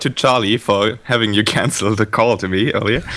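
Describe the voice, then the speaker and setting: A man speaks with a slight German accent. His tone is bright and sharp. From Germany. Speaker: caller. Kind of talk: casual chat.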